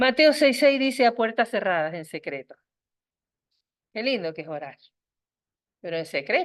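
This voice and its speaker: The voice has very wide pitch swings, vocal fry and big swings in loudness at a moderate pace. Long, frequent pauses break up the speech over a quiet background. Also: woman, fairly high pitch for a woman. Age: 60s. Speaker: women's meeting speaker. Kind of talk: sermon.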